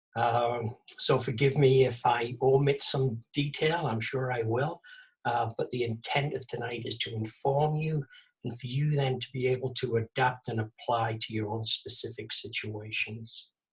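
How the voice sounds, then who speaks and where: A man with an English accent speaks at a moderate pace in a medium pitch, his voice somewhat breathy and his intonation fairly even. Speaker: vegetable gardening presenter. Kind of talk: webinar presentation. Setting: video call. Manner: halting, many fillers.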